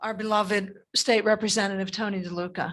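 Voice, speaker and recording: In a normal speaking voice, a woman of medium pitch talks at a moderate pace with fairly even intonation against a quiet background. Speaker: mayor. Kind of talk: public comment at council meeting. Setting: council meeting room, streamed on Zoom.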